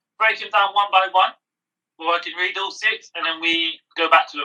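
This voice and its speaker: A man speaks in a raised, projected voice with a bright, sharp tone, high pitch, fairly even intonation and a fairly quick pace. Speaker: podcast co-host. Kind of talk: casual chat.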